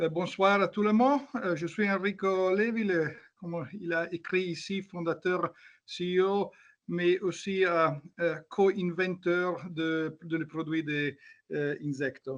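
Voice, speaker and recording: Against a quiet background, a man with a high pitch speaks very slowly with ordinary pitch variation. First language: not French (speaking French). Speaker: company founder and inventor. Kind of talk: brief self-introduction. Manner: halting.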